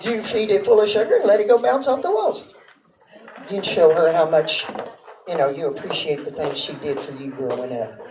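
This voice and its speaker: Noticeable background noise fills the clip. Over it, a woman's pitch swings very widely. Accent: Texas. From Texas. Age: 50s. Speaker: amateur stand-up comedian. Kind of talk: stand-up. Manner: halting, rambling with many fillers.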